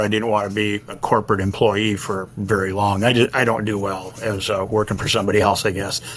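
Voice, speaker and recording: At a fairly quick clip, a man talks in a fairly low pitch. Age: 70s. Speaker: trucking contractor. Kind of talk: interview. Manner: hesitant fillers.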